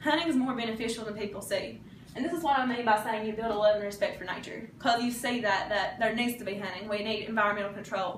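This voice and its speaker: A very fast-talking woman with an Appalachian accent, fairly high pitch and ordinary pitch variation, amid noticeable background noise and audible room echo. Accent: Appalachian Kentucky. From US, Eastern Kentucky. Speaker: college student. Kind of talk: class speech.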